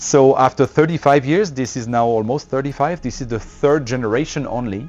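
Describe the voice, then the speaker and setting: With music playing in the background, a man talks with a French accent. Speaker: loudspeaker company representative. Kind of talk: interview explaining a product. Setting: hi-fi dealer showroom event. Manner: hesitant, with many filler sounds.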